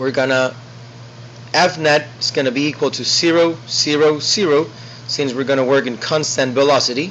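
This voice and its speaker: Through noticeable background noise, a man speaks in a fairly high pitch at a moderate pace with fairly even intonation. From South America. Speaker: student. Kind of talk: tutorial. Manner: halting.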